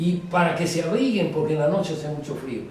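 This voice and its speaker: A man talks fairly quickly, his pitch varying in an ordinary way, with noticeable background noise behind him. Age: 80s+. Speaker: archaeologist. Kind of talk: interview answer.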